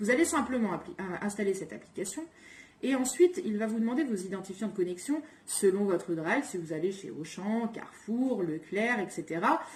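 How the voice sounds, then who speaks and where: With noticeable background noise behind her, a woman at a medium pitch speaks with very wide pitch swings. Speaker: cooking and home organisation vlogger. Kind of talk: casual tutorial. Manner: fast.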